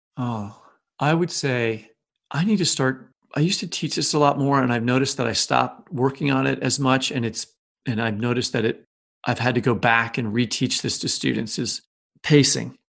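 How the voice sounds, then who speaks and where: With an American accent, a man at medium pitch and ordinary pitch variation uses an unremarkable speaking voice. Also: moderate pace. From US Midwest, Kansas City. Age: 50s. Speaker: novelist and creative writing professor. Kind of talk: interview.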